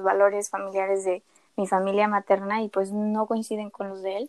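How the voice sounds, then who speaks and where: Speaking at a moderate pace, a woman with a medium pitch holds a monotone, flat intonation. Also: dry, close sound with no echo. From Mérida, Yucatán, Mexico. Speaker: entrepreneur. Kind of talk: interview.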